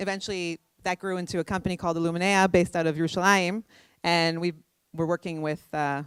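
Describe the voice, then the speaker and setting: A woman at a fairly low pitch, fairly quick and monotone with flat intonation, on a very clean recording with a silent background and a dry, close sound with no echo. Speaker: tech startup CEO. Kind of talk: conference talk. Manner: fast.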